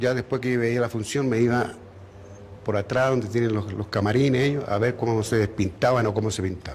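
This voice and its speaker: This speaker has a Chilean accent and talks at a fairly quick pace. Pitch varies in an ordinary way. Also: man. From Chile (raised there from age 13; born in Bogotá). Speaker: retired circus clown. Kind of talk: interview testimony.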